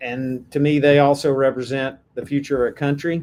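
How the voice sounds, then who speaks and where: A man talks with a Texan accent. His pitch is fairly high. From Texas. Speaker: AI policy advocate, former software executive. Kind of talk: podcast interview.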